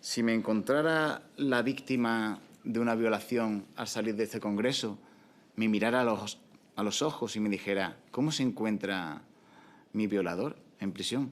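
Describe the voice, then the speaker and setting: A man with an Andalusian accent speaks at medium pitch at a fairly slow pace. His pitch varies in an ordinary way. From Andalusia, Spain. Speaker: prison officer, union representative. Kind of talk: public speech at panel event. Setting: conference in parliament building. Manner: impassioned, emphatic.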